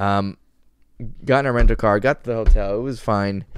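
The background stays quiet while a man talks. His pitch variation is ordinary, his pace moderate, and the sound dry with no echo. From Florida, US. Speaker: podcast co-host. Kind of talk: casual chat. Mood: joking, teasing. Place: home room. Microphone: studio mic.

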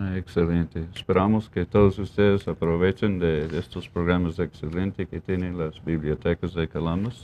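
Speaking in an English accent, a man uses a very deep, low pitch and fairly even intonation. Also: moderate pace, hardly any pauses. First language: English (speaking Spanish). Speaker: TV show host, deputy sheriff; talk show host. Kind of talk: community TV interview. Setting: TV studio. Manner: halting, many fillers. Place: studio.

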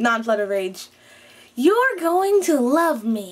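Using a put-on character voice, a woman speaks at a very slow pace and high pitch with very wide pitch swings. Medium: voice reel.

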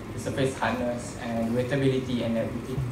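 Noticeable background noise runs under a man's speech. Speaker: presenter. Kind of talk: lecture. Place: hall. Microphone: podium.

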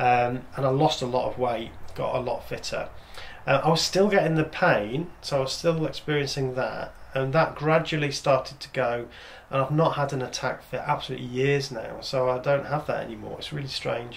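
With an English accent, a man speaks at a moderate pace in a fairly high voice with fairly even intonation over light background noise. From England. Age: 50s. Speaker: father of the channel owner. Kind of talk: casual chat. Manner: halting. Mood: reflective, calm. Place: home room.

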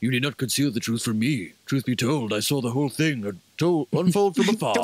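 A man speaks in a put-on character voice, gravelly and solemn, at a medium pitch and a moderate pace. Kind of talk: archaic, theatrical. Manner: grand, solemn.

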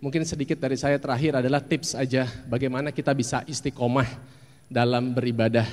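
Very fast and very even in loudness, a man's speech rushes along. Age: 40s. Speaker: actor. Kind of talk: talk; talk to an audience giving advice. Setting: stage with audience. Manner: animated. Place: hall. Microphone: handheld.

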